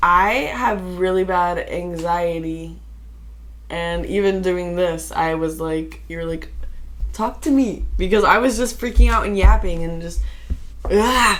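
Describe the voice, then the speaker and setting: A woman talks at a fairly slow pace. Audible room echo and noticeable background noise surround her. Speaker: podcast co-host. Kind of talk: casual chat. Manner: loud.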